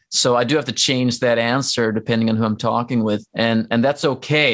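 A man's medium-pitched voice in a Norwegian accent, at a fairly quick pace with fairly even intonation. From Norway. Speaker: rock musician. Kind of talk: casual interview. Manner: halting.

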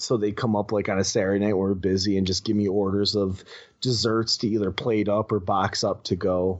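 Speaking at a fairly quick pace, a man keeps a fairly low pitch and very even loudness. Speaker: podcaster and teacher. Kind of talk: casual chat. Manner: animated.

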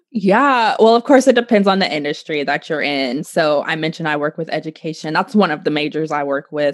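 A woman with a slight Oklahoma accent talks fairly quickly in a very deep, low voice with lively intonation. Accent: Oklahoma, slight country twang. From Oklahoma, US. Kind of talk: casual interview chat.

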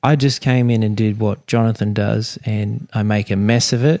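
In an Australian accent, a man with a medium-pitched, dark and mellow voice talks at a moderate pace with ordinary pitch variation, the sound dry and close with no echo. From Sydney, Australia. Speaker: fishing guide. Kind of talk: interview. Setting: in a home.

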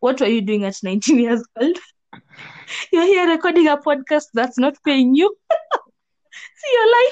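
Pausing long and often, a woman talks at a moderate pace in a high pitch, her voice swinging very widely in pitch. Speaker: podcast host. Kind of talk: casual chat.

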